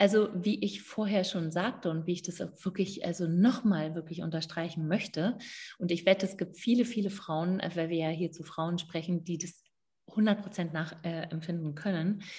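Somewhat breathy and dark, mellow in tone, a woman talks at a moderate pace in a fairly low pitch with ordinary pitch variation. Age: 50s. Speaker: midwife and women's coach. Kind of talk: interview.

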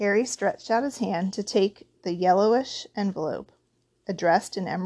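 The background is quiet behind an unforced reading voice.

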